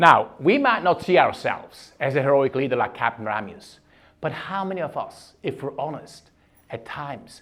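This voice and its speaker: A man with a Swiss German accent speaks at a moderate pace and fairly high pitch, his intonation lively and his loudness swinging widely. The recording is very clean with a silent background. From Switzerland (German-speaking). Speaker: leadership keynote speaker. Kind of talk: keynote speech.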